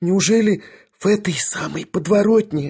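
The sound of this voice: On a very clean recording with a silent background, a man uses a put-on character voice that is high-pitched, slightly mellow and has a husky, rough edge, at a moderate pace. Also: ordinary pitch variation.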